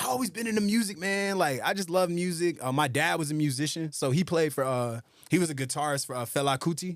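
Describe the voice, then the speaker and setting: A man with an American accent talks at a fairly quick pace. His voice is unremarkable, with lively intonation. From US South, Atlanta, Georgia. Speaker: rapper and producer. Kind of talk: casual interview chat.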